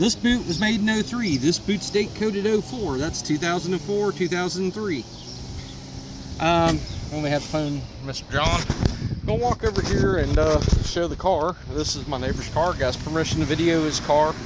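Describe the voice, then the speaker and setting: Noticeable background noise sits behind a man speaking at a fairly high pitch. He talks at a moderate pace with lively intonation. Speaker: auto repair video maker. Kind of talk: casual show-and-tell tutorial. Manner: loud.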